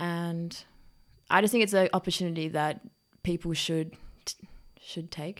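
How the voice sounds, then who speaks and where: On a very clean recording with a silent background, a woman with a slight Australian accent and fairly low pitch speaks at a fairly slow pace, using fairly even intonation and long, frequent pauses. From Melbourne, Australia. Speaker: exchange student. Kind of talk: casual chat. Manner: nervous.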